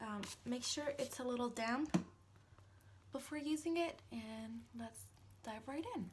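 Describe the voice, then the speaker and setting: A high-pitched woman's voice with ordinary pitch variation over noticeable background noise. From Italy. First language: Italian. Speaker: makeup vlogger. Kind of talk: tutorial. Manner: hesitant, many fillers.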